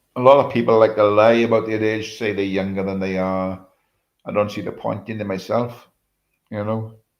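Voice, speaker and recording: The delivery is monotone and flat. It moves at a moderate pace. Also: man, fairly low pitch for a man. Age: 70s. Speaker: livestreamer. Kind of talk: casual chat. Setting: live stream.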